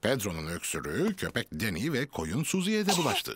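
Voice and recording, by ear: With a fairly low pitch, a slightly husky edge and a fairly bright tone, a man speaks at a fairly quick pace using very wide pitch swings.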